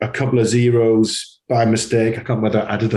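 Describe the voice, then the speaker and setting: With a Geordie accent, a man talks in a somewhat breathy, medium-pitched voice. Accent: Geordie (Newcastle). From northern England, Newcastle. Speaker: advertising agency CEO. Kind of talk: interview conversation. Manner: hesitant, many fillers and repetitions.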